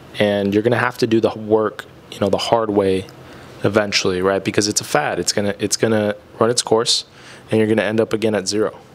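The speech races at a very fast pace in a monotone, flat intonation. Noticeable background noise is present. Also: man, fairly low pitch for a man. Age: 20s. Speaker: podcast co-host. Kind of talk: casual chat.

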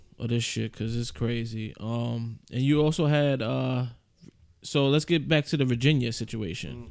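This man has a normal speaking voice at medium pitch, talking at a moderate pace with ordinary pitch variation. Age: 30s. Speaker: podcast co-host. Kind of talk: casual chat.

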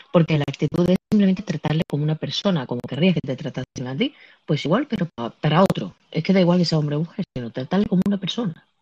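A very fast, somewhat breathy voice with a dark, mellow tone and a dry, close sound with no echo. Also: woman, fairly low pitch for a woman. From Andalusia, Spain. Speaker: podcast host and streamer. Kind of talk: casual chat. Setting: live audio app on phone.

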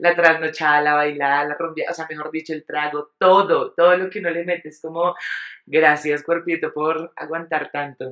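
Her pitch very deep and low, a woman talks at a moderate pace in a monotone, flat intonation, with big swings in loudness. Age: 30s. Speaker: podcast co-host. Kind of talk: casual chat.

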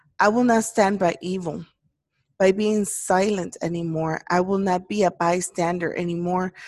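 A plain, everyday voice from a woman, medium in pitch, with fairly even intonation at a moderate pace. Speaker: podcast host. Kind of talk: personal solemn address about racism. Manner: emotional, earnest.

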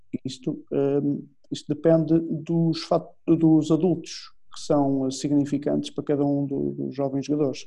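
A man with a European Portuguese accent speaks at a fairly slow pace in a fairly high pitch. His tone is dark and mellow, and his intonation stays fairly even. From Portugal. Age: 40s. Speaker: football coach. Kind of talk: interview. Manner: halting.

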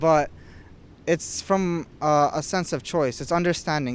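A man with a plain, everyday voice, a moderate pace and ordinary pitch variation. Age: 20s. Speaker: podcast guest. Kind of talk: casual chat.

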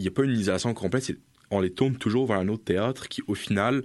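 Against a quiet background, a man talks fairly quickly in an ordinary speaking voice with ordinary pitch variation. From Europe. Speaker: political science student. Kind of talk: casual expert discussion.

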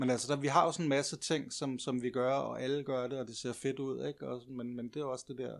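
A man at medium pitch, fairly quick with hardly any pauses, in a monotone, flat intonation, on a very clean recording with a silent background. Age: 50s. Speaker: living history practitioner and craftsman. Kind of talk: casual interview conversation.

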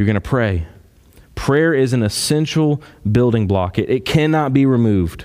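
A man's medium-pitched voice at a moderate pace, with lively intonation and very even loudness. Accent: Kentucky. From Kentucky. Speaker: pastor. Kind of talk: sermon.

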